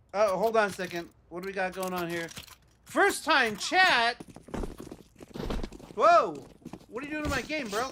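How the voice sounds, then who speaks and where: A man's raised, projected, high-pitched voice at a moderate pace, with very wide pitch swings, big swings in loudness, long and frequent pauses, and noticeable background noise. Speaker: video game streamer. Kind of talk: casual gaming livestream chat.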